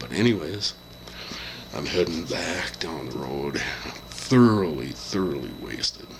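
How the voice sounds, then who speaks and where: Noticeable background noise sits under a man's very deep, low voice, which moves at a fairly slow pace with very wide pitch swings. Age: 60s. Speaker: vlogger. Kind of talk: casual chat. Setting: hotel room. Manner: halting.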